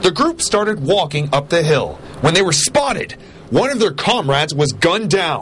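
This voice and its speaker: A man's high voice at a moderate pace, lively in intonation, over noticeable background noise. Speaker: TV news reporter. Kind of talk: TV news report narration.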